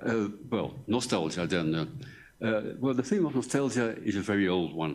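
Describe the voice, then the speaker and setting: A man's fairly low voice with lively intonation at a moderate pace, carrying audible room echo. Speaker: professor. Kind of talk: lecture. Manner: halting.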